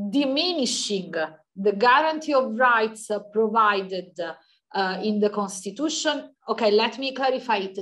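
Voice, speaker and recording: At a moderate pace, a woman with an Italian accent speaks at a fairly high pitch with lively intonation. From Italy. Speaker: law professor. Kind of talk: academic Q&A answer. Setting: video call.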